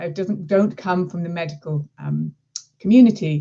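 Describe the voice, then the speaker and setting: A woman with an English accent. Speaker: marketing executive. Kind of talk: presentation.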